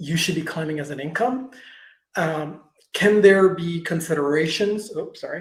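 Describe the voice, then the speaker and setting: A man's high-pitched voice with big swings in loudness and ordinary pitch variation. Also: moderate pace. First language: not English. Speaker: tax expert answering creator questions. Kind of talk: Q&A webinar answer. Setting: video call webinar. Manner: halting, stumbles over words.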